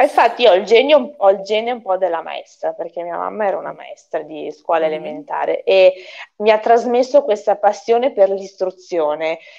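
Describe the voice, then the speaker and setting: A woman speaks at a fairly quick pace with lively intonation. Her tone is dark and mellow, and her loudness swings widely. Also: quiet background. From Bologna, Emilia, Italy. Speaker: winery owner. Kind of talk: video interview. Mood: warm, animated. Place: home room.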